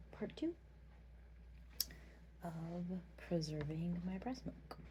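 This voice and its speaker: A soft-spoken woman talks. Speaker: mother. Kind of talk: ASMR tutorial talk to camera.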